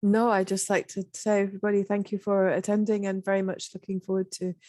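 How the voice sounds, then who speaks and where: In a British accent, a woman speaks at a very fast pace with a medium-pitched, dark, mellow voice. Her intonation is monotone and flat, and the sound is dry and close, with no echo. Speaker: policy analyst. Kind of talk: online panel discussion.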